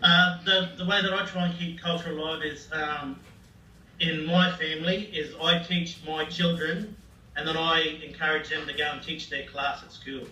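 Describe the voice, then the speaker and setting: A man's high-pitched voice in an Australian accent, flat and monotone, at a moderate pace with big swings in loudness, plus audible room echo and noticeable background noise. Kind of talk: classroom talk. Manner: halting.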